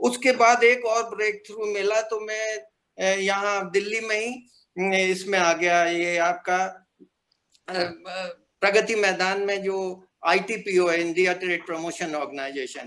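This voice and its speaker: High in pitch, a man speaks in a bright, sharp tone with ordinary pitch variation. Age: 70s. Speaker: retired printing professional, alumnus. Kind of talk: casual reminiscence on video call. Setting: video call. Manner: hesitant, many fillers.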